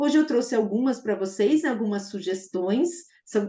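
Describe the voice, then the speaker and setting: The speaker's tone is dark and mellow, and the intonation is lively. The pace is fairly slow. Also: woman. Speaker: math teacher trainer. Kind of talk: online teacher-training lecture. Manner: enthusiastic.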